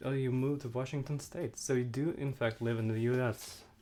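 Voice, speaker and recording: This voice carries a non-native accent. It moves along at a moderate speed. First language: not English. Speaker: livestreamer. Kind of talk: casual chat. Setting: live stream. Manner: halting.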